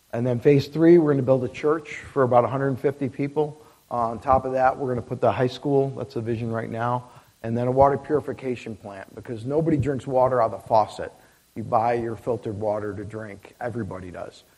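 Speaking at a fairly quick pace in an Upstate New York accent, a man has a dark, mellow tone and a medium pitch, ordinary pitch variation, and big swings in loudness. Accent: Upstate New York American. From upstate New York (near Syracuse). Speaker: missionary. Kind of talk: missionary talk at a church service. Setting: church.

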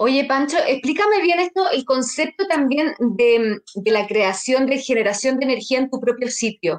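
Speaking at a fairly slow pace with hardly any pauses, a woman keeps a high pitch, very even loudness and lively intonation. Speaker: podcast host, interviewer. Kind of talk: interview.

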